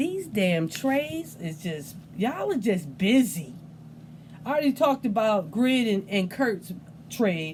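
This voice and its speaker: Speaking fairly slowly at a medium pitch, the woman sounds animated, with very wide pitch swings. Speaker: fantasy football league commissioner / video host. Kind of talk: casual recap video monologue. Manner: stuttering, unedited; animated, casual.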